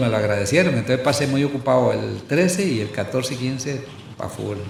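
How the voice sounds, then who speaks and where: There is audible room echo. Noticeable background noise can be heard as well. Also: man. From Costa Rica, Santo Domingo de Heredia. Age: 70s. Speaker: historian and university professor. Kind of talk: casual chat. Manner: halting.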